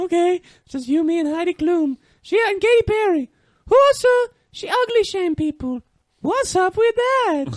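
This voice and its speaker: In a put-on character voice, a man squeaks at an extremely high pitch, leaving long, frequent pauses. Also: moderate pace. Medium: comedy sketch. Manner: gossipy, rambling.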